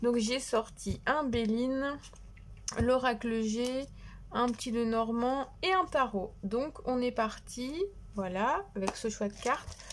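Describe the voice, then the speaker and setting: Here a woman speaks at a very slow pace. Her pitch is high with ordinary variation. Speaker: tarot card reader. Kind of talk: tarot reading. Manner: soft-spoken; hesitant.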